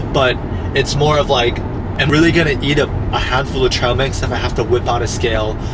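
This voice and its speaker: Over noticeable background noise and audible room echo, a man talks at a fairly quick pace with very even loudness and ordinary pitch variation. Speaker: vlogger. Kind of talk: casual vlog monologue. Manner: whispering at lunch; casual, rambling with repetitions.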